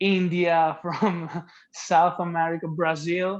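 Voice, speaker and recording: The speaker is a man with an Italian accent. His pitch is high. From Italy. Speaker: singer-songwriter. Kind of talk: interview.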